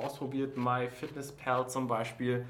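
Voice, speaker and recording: A man's medium-pitched voice is heard over noticeable background noise. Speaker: podcast host. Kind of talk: casual chat. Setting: office during lunch break.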